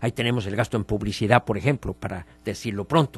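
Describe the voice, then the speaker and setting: A man speaks in a somewhat breathy voice, recorded with a dry, close sound and no echo. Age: 70s. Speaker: politician and political commentator. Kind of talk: radio opinion interview.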